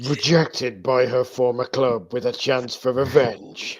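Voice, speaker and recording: Someone does a put-on character voice at a fairly slow pace with fairly even intonation. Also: man, medium pitch for a man. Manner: dramatic, announcer-like.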